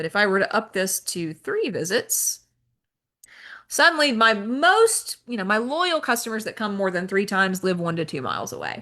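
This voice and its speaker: Over a quiet background, a woman's fairly high voice sounds bright and sharp, with very wide pitch swings. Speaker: software trainer. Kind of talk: training webinar. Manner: fast.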